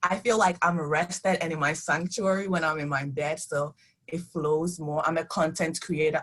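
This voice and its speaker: Somewhat breathy and very deep and low in pitch, a woman with a non-native accent talks at a moderate pace with fairly even intonation. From immigrant, country not named. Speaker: author. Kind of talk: virtual panel talk. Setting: video call.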